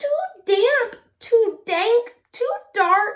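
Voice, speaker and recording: A woman puts on a squeaky character voice at an extremely high pitch. Her pitch varies in an ordinary way. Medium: read story.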